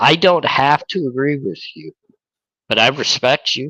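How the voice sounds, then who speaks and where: A man's fairly high-pitched voice has a bright, sharp tone, recorded with a dry, close sound and no echo. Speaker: YouTube true crime creator. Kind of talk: casual chat. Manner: slow.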